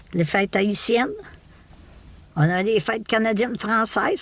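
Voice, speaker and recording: A woman with a Quebec accent speaks at a medium pitch. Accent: Québécois French. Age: 70s. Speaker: podcast guest, retiree. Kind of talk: casual interview conversation. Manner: halting, many repetitions and fillers.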